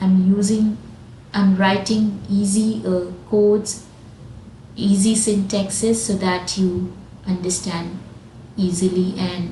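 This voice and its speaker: A woman's medium-pitched voice, very slow and fairly even in intonation, with audible room echo. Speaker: programming teacher. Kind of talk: tutorial.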